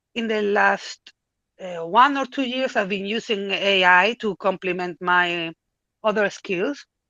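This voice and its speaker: A woman with a non-native accent speaks at medium pitch. Her pace is fairly slow, with ordinary pitch variation. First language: not English. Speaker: AI artist. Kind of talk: podcast interview. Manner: halting.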